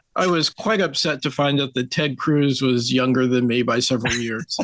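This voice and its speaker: Speaking at a moderate pace, a man with an American accent has an ordinary speaking voice and a fairly high pitch. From South Jersey, US. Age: 50s. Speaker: podcast guest. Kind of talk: interview conversation.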